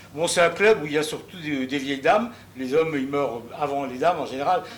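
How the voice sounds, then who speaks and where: Noticeable background noise sits under a man's fairly high-pitched voice. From Alsace, Strasbourg. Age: 70s. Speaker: audience member asking a question. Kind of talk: audience question at a public debate. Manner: hesitant, many fillers.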